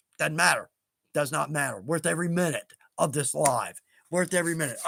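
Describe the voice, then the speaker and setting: A man's put-on character voice, hoarse and fairly high in pitch, at a fairly quick pace. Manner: fast talking, enthusiastic.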